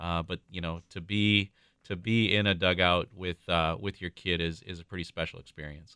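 With an Upper Midwest accent, a man talks at a moderate pace in a very deep, low pitch with fairly even intonation. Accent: Upper Midwest (Minnesota). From Minnesota, suburb of Saint Paul. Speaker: restaurant regional director and youth baseball parent. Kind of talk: radio interview. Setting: studio.

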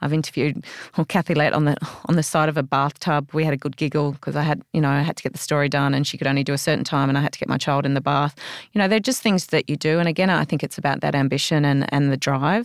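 In an Australian accent, a woman talks at a very fast pace, her pitch very deep and low with ordinary variation. The sound is dry and close with no echo, a very clean recording against a silent background. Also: very even loudness. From Australia, Canberra. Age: 40s. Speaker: former magazine editor and entrepreneur. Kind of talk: interview.

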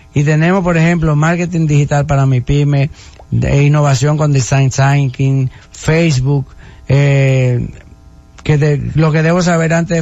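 A man with a fairly high pitch speaks at a fairly slow pace in monotone, flat intonation. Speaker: government official. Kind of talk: radio interview.

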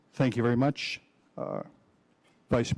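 A man speaks in an American accent with a dark, mellow tone. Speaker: mayor chairing city commission. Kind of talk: formal public meeting. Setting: city commission chambers.

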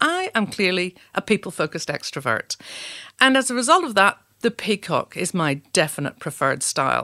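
On a very clean recording with a silent background and a dry, close sound with no echo, a woman with a Northern Irish accent speaks at a moderate pace in a medium-pitched, bright, sharp voice with very wide pitch swings. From Northern Ireland, Belfast. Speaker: leadership trainer. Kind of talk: scripted narration.

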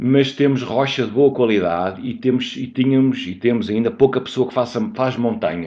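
A man speaks at a moderate pace and a medium pitch. His tone is dark and mellow. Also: ordinary pitch variation. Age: 50s. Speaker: mountaineer. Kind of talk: interview. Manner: halting.

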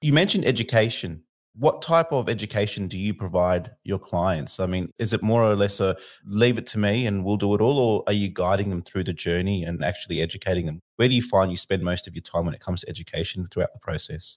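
A man with an Australian accent at a very fast pace, fairly low in pitch with ordinary pitch variation, in a very clean recording with a silent background. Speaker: podcast host, mortgage broker. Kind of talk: interview.

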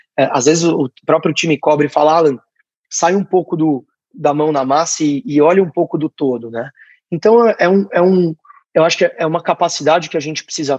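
A plain, everyday voice from a man at a moderate pace, with ordinary pitch variation and a dry, close sound with no echo. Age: 20s. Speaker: startup founder. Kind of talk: interview.

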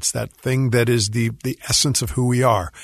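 Somewhat breathy speech at a fairly quick pace over a quiet background. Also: man. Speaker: musician and composer. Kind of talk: radio interview. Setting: radio studio.

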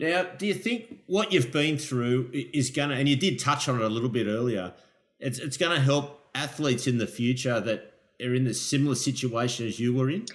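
Speaking with an Australian accent, a man of medium pitch talks at a moderate pace with ordinary pitch variation. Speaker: podcast host, lifeguard. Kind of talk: casual interview.

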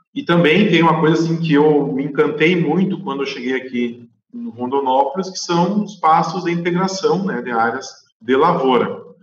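Audible room echo on a man's fairly high voice, moderate in pace and ordinary in pitch variation. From southern Brazil, Rio Grande do Sul (Guaíba). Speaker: animal scientist, livestock consultant. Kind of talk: interview.

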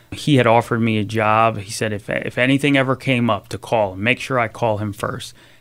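A man with a Philadelphia accent speaks at a medium pitch and a fairly quick pace, with fairly even intonation and hardly any pauses. The recording is very clean, with a silent background. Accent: Philadelphia-area American. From southern New Jersey (Salem County). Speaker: construction company executive. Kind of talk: interview.

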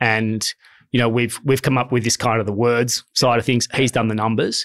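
Dry and close with no echo, a voice in an Australian accent speaks with monotone, flat intonation on a very clean recording with a silent background. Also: man. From Sydney, Australia. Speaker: company co-founder. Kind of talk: interview.

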